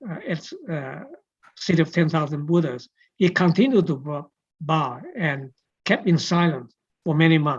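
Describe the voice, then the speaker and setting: A woman speaks with a very deep, low pitch and lively intonation, her voice somewhat breathy. Long pauses come often. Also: moderate pace. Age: 80s+. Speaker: forum moderator. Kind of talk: event introduction. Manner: halting.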